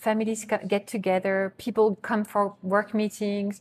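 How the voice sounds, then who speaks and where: The speech, in a French accent, is monotone and flat, captured in a very clean recording with a silent background. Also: woman. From France. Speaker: bakery co-owner. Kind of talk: interview.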